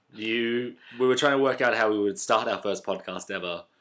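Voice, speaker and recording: A man with an Australian accent and a bright, sharp tone, at a moderate pace with ordinary pitch variation, in a very clean recording with a silent background. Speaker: comedy podcast co-host. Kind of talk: casual chat.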